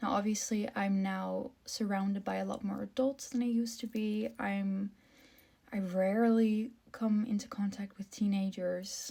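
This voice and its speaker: Very slow and somewhat breathy, the voice has a dark, mellow tone. Its intonation stays fairly even. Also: woman. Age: 20s. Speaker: content creator with albinism. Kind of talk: casual vlog monologue. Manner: hesitant, many filler ums.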